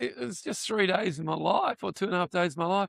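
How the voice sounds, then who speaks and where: Recorded dry and close with no echo, a man speaks with an Australian accent. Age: 70s. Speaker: voice actor and retired school principal. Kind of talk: casual interview. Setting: convention floor. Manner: halting.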